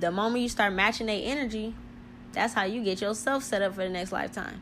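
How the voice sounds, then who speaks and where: A fairly quick, animated tone with vocal fry. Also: woman. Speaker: spiritual podcaster. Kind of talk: monologue talk on spirituality. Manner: fast talker, hyper, speaks over words; animated, casual.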